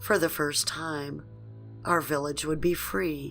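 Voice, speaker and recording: A woman talking at a fairly slow pace, with music in the background. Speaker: horror story narrator. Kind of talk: horror story narration.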